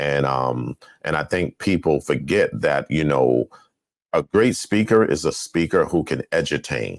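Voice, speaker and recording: A man speaks fairly slowly with a very deep, low pitch and vocal fry. His intonation is lively, and the sound is dry and close with no echo. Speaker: talk show host. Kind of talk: interview.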